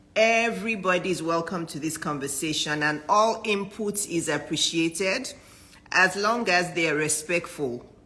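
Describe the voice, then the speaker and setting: A woman with an unremarkable speaking voice talks at a moderate pace, her pitch rising and falling in an ordinary way. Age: 50s. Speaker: physician and business coach. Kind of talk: live-stream talk to viewers.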